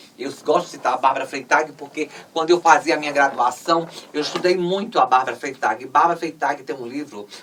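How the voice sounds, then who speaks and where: A woman speaks at a fairly quick pace in a very deep, low pitch. Her loudness swings widely, while her pitch varies in an ordinary way. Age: 60s. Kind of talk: interview conversation. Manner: halting, many fillers.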